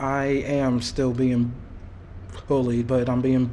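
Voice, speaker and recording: Very slow, monotone speech from a man at medium pitch, flat in intonation, with audible room echo and noticeable background noise. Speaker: bullying victim. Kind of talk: testimony. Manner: halting.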